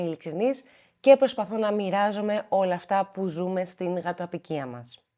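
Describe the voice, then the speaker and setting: The woman's voice has a dark, mellow tone. It sits at a medium pitch. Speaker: cat rescuer and video host. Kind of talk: personal vlog talk to camera.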